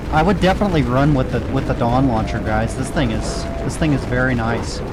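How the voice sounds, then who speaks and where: Noticeable background noise sits behind a man as he talks fairly quickly. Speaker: gaming youtuber. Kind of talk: gameplay commentary. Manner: loud.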